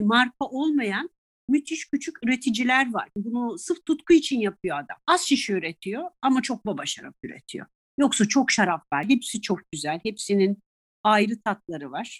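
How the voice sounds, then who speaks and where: A woman's fairly high voice with very wide pitch swings and vocal fry. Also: moderate pace, dry, close sound with no echo, very clean recording, silent background. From Italy (raised from early childhood, Turkish mother). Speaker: tour guide and sommelier. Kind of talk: interview conversation. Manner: animated, laughs often.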